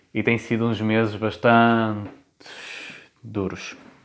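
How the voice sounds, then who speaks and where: This man speaks with a European Portuguese accent. His pitch sits in the medium range. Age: 20s. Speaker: podcast host. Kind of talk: solo monologue podcast. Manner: casual conversational. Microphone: room echo.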